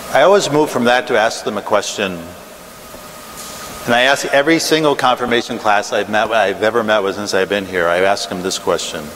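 With an unremarkable speaking voice, a man talks at a fairly quick pace and a fairly low pitch over light background noise. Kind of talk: prayer then lecture. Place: church.

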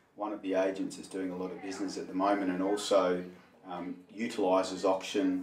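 The man's delivery is monotone and flat, at a moderate pace. Room echo is audible, along with light background noise. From Perth, Western Australia. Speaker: auctioneer and interviewer. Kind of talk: interview host questions. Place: meeting room. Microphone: camera far.

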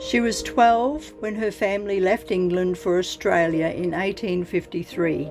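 Music plays in the background. A woman speaks at a very slow pace. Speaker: family history vlogger. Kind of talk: documentary narration.

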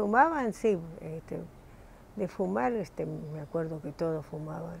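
A woman speaks at a fairly slow pace in a very deep, low pitch, with vocal fry and lively intonation. Her loudness swings widely over light background noise. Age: 80s+. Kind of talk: interview answer. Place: home room. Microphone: lapel.

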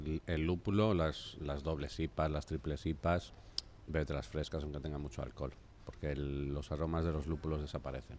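A man with a very deep, low pitch and a Spanish accent speaks at a moderate pace with fairly even intonation over light background noise. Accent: Peninsular Spanish. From Spain. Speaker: craft brewery manager. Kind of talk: beer tasting conversation. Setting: studio. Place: studio. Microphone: studio mic.

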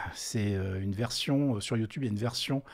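A man's lively intonation and moderate speed come across on a very clean recording with a silent background. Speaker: tech podcast host. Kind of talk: live stream commentary. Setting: live stream. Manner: hesitant, many fillers.

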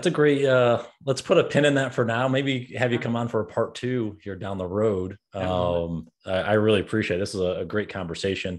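Here is a plain, everyday voice from a man at a fairly low pitch with ordinary pitch variation. He keeps a moderate pace with hardly any pauses against a quiet background. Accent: American. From upstate New York. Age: 30s. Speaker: podcast host and coach; podcast host, coach. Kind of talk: interview. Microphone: studio mic.

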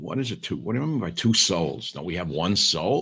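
In quiet surroundings, a man talks with a lively, varied intonation. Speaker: online show host. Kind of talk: casual monologue commentary. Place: home room. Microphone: webcam.

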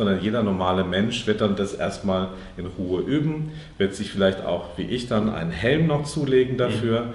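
Light background noise and audible room echo surround a man's voice. He speaks in a fairly low pitch with ordinary pitch variation. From Karlsruhe, southwest Germany; Germany. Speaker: member of parliament; politician being interviewed. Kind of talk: interview. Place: shop. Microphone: lapel.

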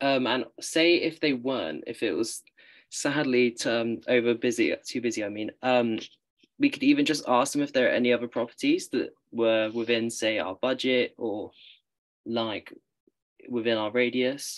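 Someone with a British accent speaks at a moderate pace against a quiet background. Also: man. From UK. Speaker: university student; panelist. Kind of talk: panel discussion. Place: home room. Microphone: video call.

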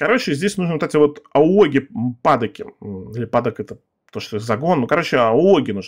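A man speaks at a moderate pace with a fairly high pitch and very wide pitch swings against a quiet background. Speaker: gaming youtuber. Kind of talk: gameplay commentary. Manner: casual, rambling with filler words. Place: home room.

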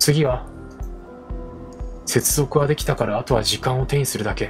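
A man's medium-pitched voice at a moderate pace with fairly even intonation, music in the background. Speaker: VTuber game streamer. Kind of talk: game let's play with dialogue reading. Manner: soft, calm for sleep.

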